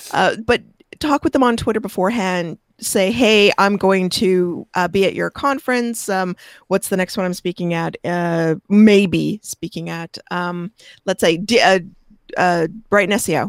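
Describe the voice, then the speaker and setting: In a normal speaking voice of medium pitch, a woman talks at a fairly slow pace, the sound dry and close with no echo on a very clean recording with a silent background. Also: ordinary pitch variation. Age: 50s. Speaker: SEO expert. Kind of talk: interview.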